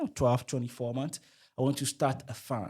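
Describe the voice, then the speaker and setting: At a medium pitch, a man speaks with an American accent. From Togo. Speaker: entrepreneur and public speaker. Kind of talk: podcast interview.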